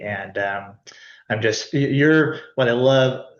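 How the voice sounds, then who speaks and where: A man is speaking. Room echo can be heard. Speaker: nonprofit executive. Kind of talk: presentation on video call.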